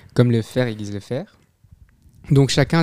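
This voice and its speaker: Fairly even intonation and a dark, mellow tone mark this voice, which moves at a fairly quick pace. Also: man. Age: 20s. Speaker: medical student. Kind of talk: casual chat.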